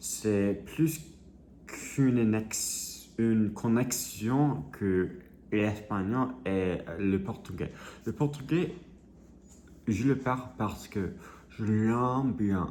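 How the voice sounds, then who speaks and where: Amid audible room echo, a man speaks at a very slow pace with long, frequent pauses. His voice is fairly low, with lively intonation. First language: English (speaking French). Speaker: vlogger. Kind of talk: casual vlog monologue. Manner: halting, many hesitations.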